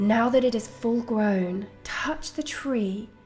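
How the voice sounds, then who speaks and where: The speaker talks at a very slow pace in a calm, soothing tone. Music plays in the background. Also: woman. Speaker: guided meditation guide. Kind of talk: guided meditation narration. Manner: slow, calm, soothing.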